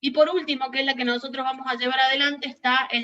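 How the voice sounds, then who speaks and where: This woman's voice is raised and projected, with a bright, sharp tone. Her pitch is high. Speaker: university lecturer. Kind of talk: lecture.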